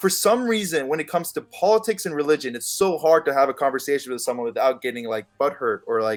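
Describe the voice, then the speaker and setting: This man talks at a very fast pace, his pitch swinging very widely. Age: 20s. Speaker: freelancer in film, podcast guest. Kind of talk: casual chat. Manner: mumbling; halting.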